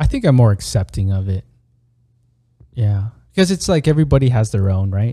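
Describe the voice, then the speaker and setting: Talking at a fairly quick pace with lively intonation, a man with an American accent uses a medium pitch and a dark, mellow, somewhat breathy tone, broken by long, frequent pauses. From United States. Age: 30s. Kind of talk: casual chat.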